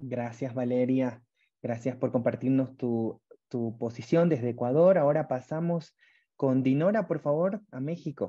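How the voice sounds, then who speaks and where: At a fairly slow pace, a man speaks with a dark, mellow tone and ordinary pitch variation. The background is quiet. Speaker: webinar moderator. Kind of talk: online webinar moderation. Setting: video call. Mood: friendly, warm. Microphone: earbuds.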